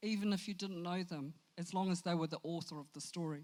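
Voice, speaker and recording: A woman speaks with a New Zealand accent. Her pitch is medium, with ordinary pitch variation. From New Zealand, Christchurch, Samoan family. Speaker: storyteller. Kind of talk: motivational talk.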